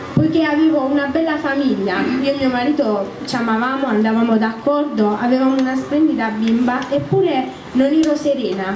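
Over light background noise and audible room echo, a woman with a high pitch and ordinary pitch variation talks at a fairly quick pace. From southern Italy, Apulia (San Severo). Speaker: church member giving testimony. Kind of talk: testimony. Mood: calm, earnest, slightly nervous. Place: tent. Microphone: handheld.

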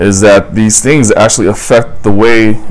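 Speaking fairly quickly, a man with an unremarkable speaking voice keeps to a fairly low pitch. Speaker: guest. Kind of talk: interview answer. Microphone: lapel.

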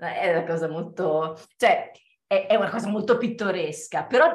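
At a fairly slow pace, a woman talks in a room with audible echo and a quiet background. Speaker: theatre performer. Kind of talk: dramatic reading aloud. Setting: video call.

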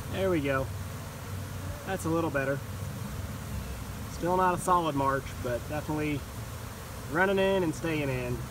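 Noticeable noise fills the background of a dry recording without any echo. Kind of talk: casual narration while working. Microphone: phone near.

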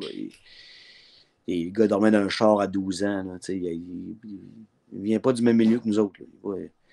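A man with a Quebec accent, fairly low in pitch and dark and mellow in tone, with fairly even intonation, a fairly slow pace and long, frequent pauses over a quiet background. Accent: Québécois French. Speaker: sports broadcaster. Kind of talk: casual chat. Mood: casual, chatty. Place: home room. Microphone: video call.

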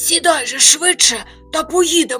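A raspy, put-on character voice moves at a moderate pace over clear music in the background. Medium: read story.

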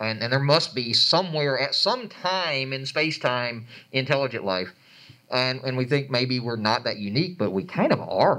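A man with a Georgia accent at a moderate pace, bright and sharp in tone, with lively intonation over a quiet background. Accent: Southern US, Georgia. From Atlanta, Georgia. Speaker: planetarium educator and researcher; planetarium educator. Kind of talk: panel discussion. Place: hall.

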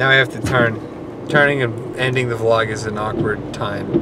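Delivered at a moderate pace, the voice sounds dry with no echo over noticeable background noise. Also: man. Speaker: vlogger. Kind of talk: casual vlog chat. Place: car. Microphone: phone near.

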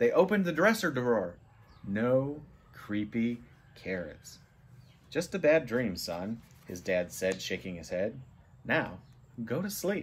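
A man speaking at a fairly slow pace, his pitch swinging very widely. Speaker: storybook reader. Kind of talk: read-aloud storytelling. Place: home room. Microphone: phone near.

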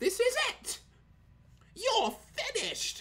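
A put-on character voice is pitched extremely high. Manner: over-the-top, shouting battle cry.

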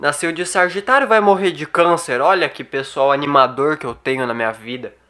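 The tone is bright and sharp, with lively intonation and big swings in loudness. The pace is moderate, and the background is quiet. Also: man, fairly high pitch for a man. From Brazil. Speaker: stand-up comedian and YouTuber. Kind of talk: stand-up comedy. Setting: home, filmed in bedroom. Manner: casual, slangy, swearing. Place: home room. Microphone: studio mic.

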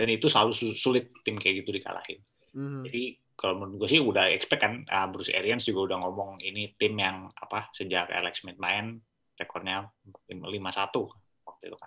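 Speaking at a fairly quick pace, a man with a fairly low voice and a bright, sharp tone keeps his intonation fairly even while his loudness swings widely. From Indonesia. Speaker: co-host, NFL analyst. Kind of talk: casual sports analysis chat. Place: home room. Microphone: video call.

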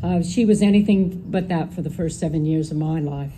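Over noticeable background noise, a woman with an American accent talks at a moderate pace in a fairly low voice with ordinary pitch variation. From Northern California. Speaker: daughter of the deceased giving eulogy. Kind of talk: eulogy reading. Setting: memorial gathering with audience. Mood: emotional, fond, grateful. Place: garden. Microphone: podium.

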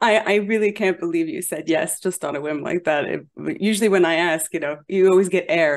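A woman with fairly low pitch and a normal speaking voice talks at a fairly quick pace. Her pitch variation is ordinary. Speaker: interview host. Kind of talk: interview introduction. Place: home room. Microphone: studio mic.

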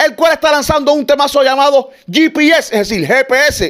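Against a quiet background, a man speaks at an extremely high pitch with ordinary pitch variation. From Cuba. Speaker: gossip show host. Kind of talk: entertainment gossip presenting. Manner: animated. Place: home room.

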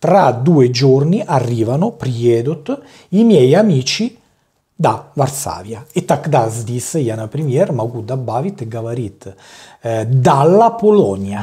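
Against a quiet background, a man with a medium pitch and a dark, mellow, somewhat breathy tone speaks at a very slow pace with lively intonation. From Italy. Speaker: language teacher. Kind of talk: tutorial. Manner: halting. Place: home room.

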